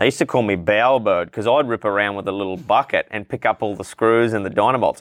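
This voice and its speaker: Speaking at a very fast pace with hardly any pauses, a man with an Australian accent has a fairly low pitch and ordinary pitch variation. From Queensland, Australia (Townsville). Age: 20s. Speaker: refrigeration tradesman and rodeo announcer. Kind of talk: casual interview chat. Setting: outdoors on a veranda.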